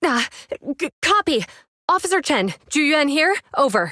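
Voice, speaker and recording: In a put-on character voice, the speaker sounds raspy, moving at a moderate pace with very wide pitch swings. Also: woman, high pitch for a woman. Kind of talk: radio protocol, terse.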